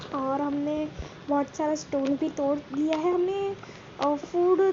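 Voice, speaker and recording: A woman with a Gujarati accent speaks over noticeable background noise. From Gujarat, India. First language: Gujarati (speaking Hindi). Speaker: gaming YouTuber. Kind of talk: gameplay commentary. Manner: hesitant, many fillers. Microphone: poor voice quality.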